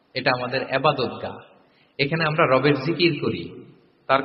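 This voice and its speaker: Over noticeable background noise, a man with a fairly high pitch talks in an animated tone. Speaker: Islamic preacher. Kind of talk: Islamic sermon (waz) lecture. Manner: animated, conversational, mixing English words.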